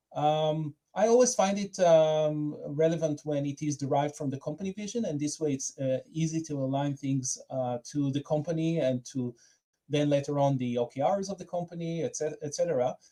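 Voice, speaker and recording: With an Israeli accent, a man speaks fairly quickly at a fairly high pitch, with ordinary pitch variation and a dark, mellow tone. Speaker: product manager. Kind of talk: conference talk. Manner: hesitant, many fillers.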